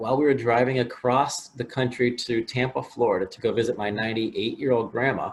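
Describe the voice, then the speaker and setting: With a Midwestern American accent, a man speaks at a medium pitch and moderate pace, with ordinary pitch variation and noticeable background noise. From US Midwest, Willard, Ohio. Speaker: motivational speaker. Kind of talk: interview. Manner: halting, repeats words.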